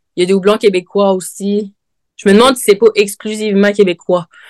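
A woman talks in a plain, everyday voice at a medium pitch and moderate pace. The sound is dry and close with no echo, over a quiet background. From Quebec, Côte-Nord (Havre-Saint-Pierre). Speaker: brewer. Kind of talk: casual interview.

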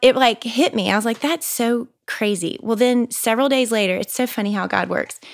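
A woman with a Southern US accent talks fairly quickly in a fairly high voice, barely pausing. Her pitch varies in an ordinary way. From US South, Mississippi. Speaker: mother. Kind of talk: casual chat.

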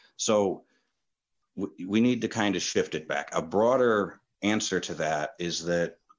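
An unremarkable speaking voice with an American accent, at a moderate pace with ordinary pitch variation. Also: man. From New York State (Kingston). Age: 30s. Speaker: landlord. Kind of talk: interview.

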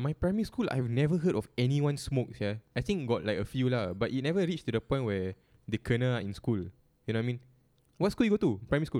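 Very wide pitch swings and a very fast pace in a dark, mellow tone, with a Singaporean accent. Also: man, medium pitch for a man. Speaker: podcast co-host. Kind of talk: casual chat.

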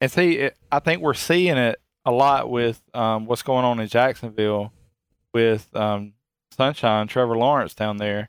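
In a dry, close recording with no echo, a man speaks in an unremarkable speaking voice at medium pitch, with ordinary pitch variation and a fairly slow pace. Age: 40s. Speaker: sports podcast co-host. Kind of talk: casual chat.

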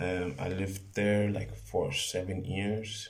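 In an American accent, the speaker talks at a very slow pace in a flat monotone, with audible room echo. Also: man. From Los Angeles, California. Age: 20s. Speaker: podcaster and fitness trainer. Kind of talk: casual monologue. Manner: halting, with frequent repetitions.

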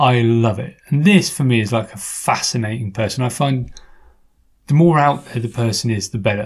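A man with an English accent, medium pitch, and a somewhat breathy voice, at a moderate pace with ordinary pitch variation. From England. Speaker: podcast host. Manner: playful, joking.

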